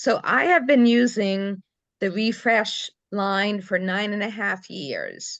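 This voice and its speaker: Against a quiet background, a woman talks very slowly at a medium pitch with ordinary pitch variation. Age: 60s. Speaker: team member at sales meeting. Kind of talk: testimony.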